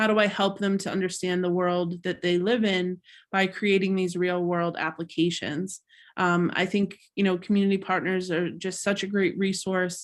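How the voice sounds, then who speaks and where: Monotone, flat intonation runs through a very clean recording with a silent background. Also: woman, medium pitch for a woman, moderate pace. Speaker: teacher. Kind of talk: presentation. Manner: halting, many fillers.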